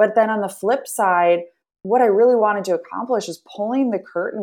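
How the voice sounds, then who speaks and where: Against a quiet background, a woman with an American accent and an unremarkable speaking voice talks at a fairly quick pace with lively intonation. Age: 30s. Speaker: nonprofit founder. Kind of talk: interview conversation.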